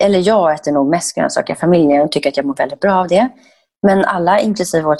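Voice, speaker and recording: A woman speaks with ordinary variation in her pitch. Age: 40s. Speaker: raw food chef and entrepreneur. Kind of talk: podcast interview.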